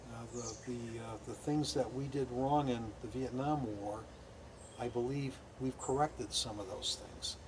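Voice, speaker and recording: Amid noticeable background noise, a man with a medium pitch speaks fairly slowly with fairly even intonation. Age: 60s. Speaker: war veteran. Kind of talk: interview. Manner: halting.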